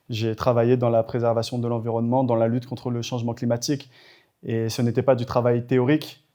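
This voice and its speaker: A man's medium-pitched, monotone, flat delivery at a fairly quick pace. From Madagascar. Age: 20s. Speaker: government minister. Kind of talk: interview. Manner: hesitant, frequent fillers.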